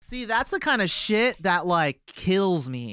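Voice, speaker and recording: Bright and sharp in tone, the voice makes very wide pitch swings, with a dry, close sound with no echo on a very clean recording with a silent background. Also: man. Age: 20s. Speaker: guitarist and singer in a band. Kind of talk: casual interview.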